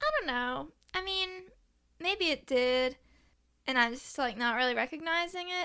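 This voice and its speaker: Pitched high, a woman projects her raised voice with a bright, sharp tone and lively intonation, keeping a moderate pace broken by long, frequent pauses. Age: 20s. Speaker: true crime podcaster and restaurant worker. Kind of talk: casual interview chat.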